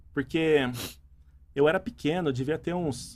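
His pitch variation is ordinary. This man keeps a moderate pace. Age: 30s. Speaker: entrepreneur and engineer. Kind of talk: casual interview.

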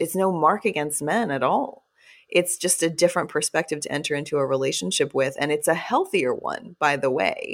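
A woman with an American accent talks at a moderate pace in a normal speaking voice, fairly low in pitch, with lively intonation. The recording is very clean, with a silent background. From Texas. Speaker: author and podcaster. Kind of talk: casual interview conversation.

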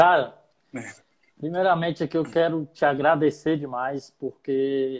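A man talks at a fairly slow pace in a fairly high pitch, with ordinary pitch variation and big swings in loudness. It is a normal speaking voice. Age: 30s. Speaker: podcast host and rapper. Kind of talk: interview.

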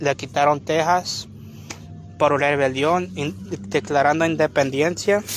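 A man speaks fairly slowly in a fairly high voice. His pitch varies in an ordinary way. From California (Long Beach). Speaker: lay preacher. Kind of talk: sermon. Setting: outdoors in a park. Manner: halting.

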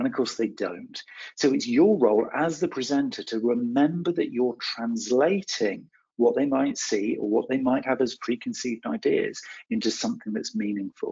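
This man talks at a moderate pace with a slight West Country accent. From West Country, England. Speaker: marketing trainer. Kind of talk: webinar lecture. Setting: webinar.

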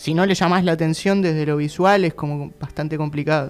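A man's unremarkable speaking voice, fairly high in pitch with ordinary pitch variation, at a fairly quick pace. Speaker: band singer. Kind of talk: casual interview.

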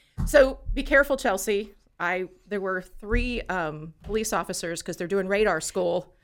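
A woman with a plain, everyday voice speaks at a fairly slow pace and medium pitch, her intonation lively, in a very clean recording with a silent background. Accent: American. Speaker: podcast co-host. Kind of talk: casual chat. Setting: studio.

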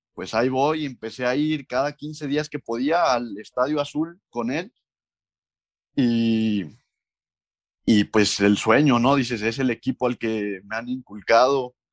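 A man's medium-pitched voice moves along at a very slow pace. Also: ordinary pitch variation, dry, close sound with no echo. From Mexico, Córdoba, Veracruz. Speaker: professional footballer. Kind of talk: interview.

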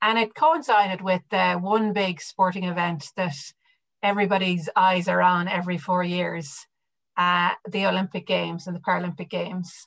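A woman with an Irish accent talks at a moderate pace, her pitch medium and her intonation fairly even. The background is quiet. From west of Ireland, County Mayo. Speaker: sports administrator. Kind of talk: interview.

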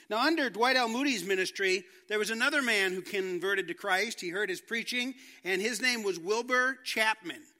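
In a raised, projected voice, a man speaks at a moderate pace with high pitch and ordinary pitch variation. His tone is bright and sharp. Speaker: pastor. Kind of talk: sermon. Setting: church.

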